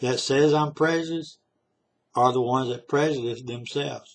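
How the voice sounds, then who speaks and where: A man speaks with a Southern US accent and ordinary pitch variation. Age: 60s. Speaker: vlogger. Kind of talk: political monologue. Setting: self-recorded video.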